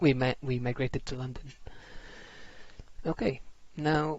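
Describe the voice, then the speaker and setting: A man speaks at a medium pitch and a fairly slow pace. His voice is somewhat breathy, with fairly even intonation. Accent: Filipino. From Philippines. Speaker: IT systems administrator and tech tutorial creator. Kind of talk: tutorial presentation with slides. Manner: casual, halting with fillers.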